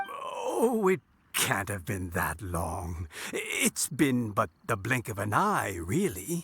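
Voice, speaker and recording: Using a put-on character voice, a man talks very slowly at a medium pitch with a warm tone. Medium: video game. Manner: warm, chuckling.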